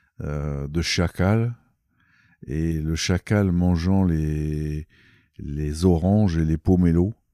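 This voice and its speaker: Recorded very clean with a silent background and a dry, close sound with no echo, a man speaks at a very slow pace in a very deep, low voice with a dark, mellow tone and ordinary pitch variation. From Algeria. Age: 60s. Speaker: ecologist and ornithologist. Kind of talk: interview. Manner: halting, many hesitations.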